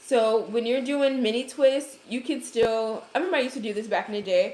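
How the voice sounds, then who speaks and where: A woman talks with a slight Brooklyn accent. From Brooklyn, New York. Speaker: hair care creator. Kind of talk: livestream hair tutorial. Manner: casual, chatty.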